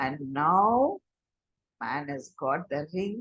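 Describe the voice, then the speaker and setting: In an Indian accent, a woman speaks very slowly with lively intonation, the sound dry and close with no echo. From Chennai, India. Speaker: storyteller. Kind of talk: oral storytelling.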